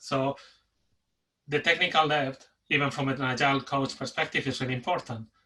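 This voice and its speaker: Intonation stays fairly even at a moderate pace. The voice comes in a Spanish accent. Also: man. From Spain. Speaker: delivery manager and agile coach. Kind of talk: conference talk. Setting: webinar. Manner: pauses for breath.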